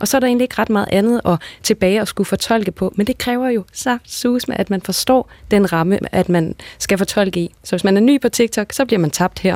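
A normal speaking voice from a woman at medium pitch and a fairly quick pace with ordinary pitch variation, dry and close with no echo, on a very clean recording with a silent background. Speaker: language researcher. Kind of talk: radio panel discussion. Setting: studio.

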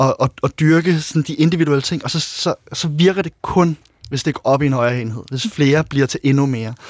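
Here a man with a plain, everyday voice speaks at a fairly high pitch and fairly quick pace. His pitch varies in an ordinary way, and the sound is dry and close with no echo. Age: 30s. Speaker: author and former handball player. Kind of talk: interview.

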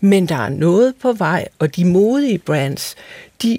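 A woman with a dark, mellow tone speaks at a very slow pace with lively intonation, and the sound is dry and close with no echo. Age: 60s. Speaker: fashion researcher and model. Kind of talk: radio discussion. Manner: hesitant.

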